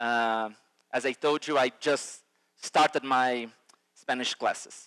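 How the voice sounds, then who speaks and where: With a Brazilian accent, this man has a bright, sharp tone, recorded dry and close with no echo. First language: Portuguese. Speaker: futurist and educator. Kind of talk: conference keynote. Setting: stage with audience. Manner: halting, many fillers.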